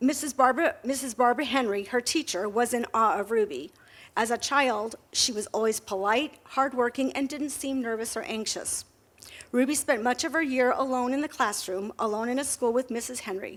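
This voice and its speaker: A woman's high voice with ordinary pitch variation. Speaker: schoolteacher. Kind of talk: prepared talk at a library event. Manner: fast.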